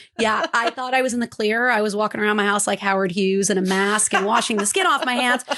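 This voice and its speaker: A woman with an American accent talks at a very fast pace in an animated tone amid noticeable background noise. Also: hardly any pauses, very even loudness. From San Francisco Bay Area, California. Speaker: podcast co-host. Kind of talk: casual chat.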